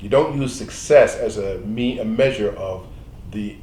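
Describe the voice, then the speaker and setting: Moderate pace with audible room echo. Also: man. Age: 70s. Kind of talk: panel interview. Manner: halting.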